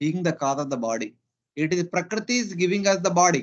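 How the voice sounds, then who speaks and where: With a Telugu accent, a man speaks at a high pitch using lively intonation. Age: 40s. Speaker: spiritual teacher. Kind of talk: scripture class. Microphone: poor internet, voice fluctuates.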